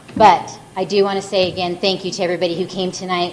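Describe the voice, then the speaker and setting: Noticeable background noise sits behind a woman speaking. Her fairly low voice moves at a very fast pace. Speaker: event organizer. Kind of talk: closing remarks. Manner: halting.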